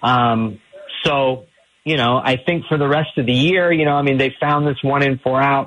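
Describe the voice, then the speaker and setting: A man with an American accent speaks in a normal speaking voice, fairly high in pitch. His pace is moderate, his intonation fairly even, and his loudness very even. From Ohio (Tallmadge). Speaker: sports journalist. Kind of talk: radio sports interview.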